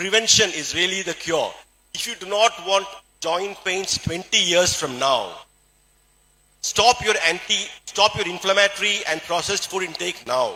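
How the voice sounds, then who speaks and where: In a Keralan accent, a man speaks at a moderate pace with a high pitch and ordinary pitch variation. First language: Malayalam. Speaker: doctor and health product speaker. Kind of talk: motivational health talk.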